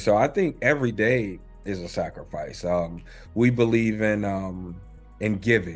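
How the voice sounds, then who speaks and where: Music plays in the background. A man with an American accent speaks at a fairly low pitch. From Charlotte, North Carolina. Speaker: filmmaker, director. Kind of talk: interview answer.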